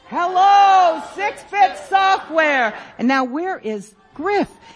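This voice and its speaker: Noticeable background noise is present. Over it, a woman's voice moves in very wide pitch swings. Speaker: radio host. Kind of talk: live radio show banter with audience. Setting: stage with live audience at convention. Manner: animated, jokey.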